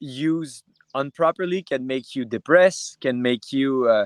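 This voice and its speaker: With a Quebec accent, a man talks at a fairly high pitch and ordinary pitch variation. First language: French. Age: 20s. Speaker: UFC fighter. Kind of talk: interview. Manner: halting.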